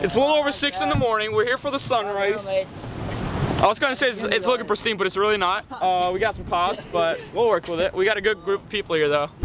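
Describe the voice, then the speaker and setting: A man's high-pitched voice at a very fast pace, hardly any pauses, ordinary pitch variation, dry sound with no echo, and noticeable background noise. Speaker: vlogger. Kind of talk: casual vlog chat. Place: open country. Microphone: phone near.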